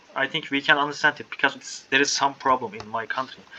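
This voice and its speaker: A man's fairly high voice rushes along at a very fast pace with fairly even intonation while background noise stays noticeable. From Turkey. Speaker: English learner, pastry chef. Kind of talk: casual conversation practice.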